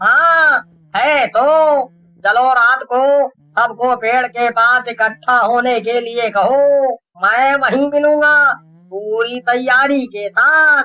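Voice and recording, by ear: Putting on a character voice, a man speaks slowly with few pauses, an extremely high pitch, ordinary pitch variation and a bright, sharp tone.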